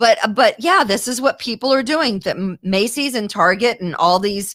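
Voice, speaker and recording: With an American accent, a woman speaks at a moderate pace in a fairly high, animated voice with lively intonation. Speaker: podcast host. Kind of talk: casual chat.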